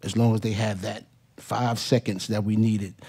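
With a New York accent, a man speaks at a moderate pace in a fairly low, dark, mellow voice with flat, monotone intonation. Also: quiet background. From New York, Hollis, Queens. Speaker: hip hop DJ and producer; hip hop DJ. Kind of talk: panel talk. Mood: relaxed, reminiscing. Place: hall. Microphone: podium.

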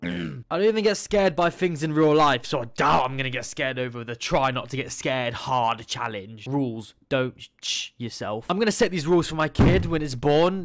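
Against a quiet background, a man talks at a fairly quick pace with lively intonation. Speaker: reaction streamer. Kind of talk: casual reaction commentary. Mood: joking, mock bravado. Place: home room. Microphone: studio mic.

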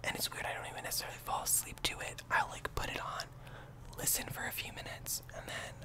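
A man's whisper at a fairly quick pace. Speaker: ASMR YouTuber. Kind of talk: casual talk to camera. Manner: whispered. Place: home room. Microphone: studio mic.

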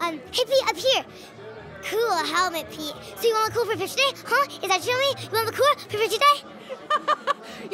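Putting on a character voice, a woman talks at a moderate pace with an extremely high pitch over clear background noise. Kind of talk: rapid chatter. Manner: hyperactive, excitedly fast.

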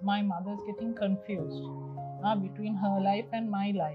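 With clear music in the background, a woman talks at a moderate pace. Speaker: caregiver daughter. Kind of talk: interview answer. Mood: calm, thoughtful. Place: garden. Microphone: lapel.

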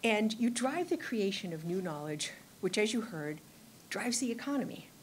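Over light background noise, a woman speaks at a moderate pace in a somewhat breathy voice. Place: hall. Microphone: podium.

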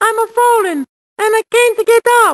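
The speaker does a put-on character voice at an extremely high pitch. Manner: exaggerated, comedic.

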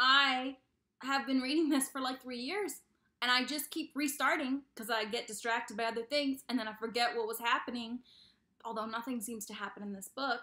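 A woman talks at a moderate pace in a high voice. Her tone is bright and sharp. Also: ordinary pitch variation. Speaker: book vlogger. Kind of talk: casual chat.

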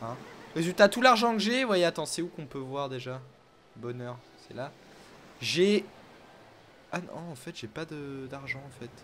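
A man with a fairly high voice talks at a fairly slow pace with long, frequent pauses. His tone is animated, with very wide pitch swings. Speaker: gaming YouTuber. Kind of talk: casual let's play commentary. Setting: online voice chat.

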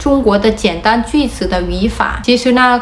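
A moderately paced woman with a fairly high pitch and ordinary variation in it. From Vietnam. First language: Vietnamese (speaking Chinese). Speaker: vlogger. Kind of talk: explainer vlog. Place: home room. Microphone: phone near.

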